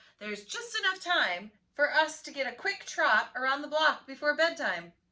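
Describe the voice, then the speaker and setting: A woman's put-on character voice, high-pitched and at a moderate pace. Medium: read story.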